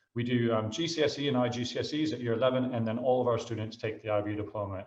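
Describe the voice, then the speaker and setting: A man at a medium pitch, with an American accent, at a very fast pace. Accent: American, noticeable to British listeners. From United States. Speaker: school headmaster. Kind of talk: presentation talk. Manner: halting, many fillers.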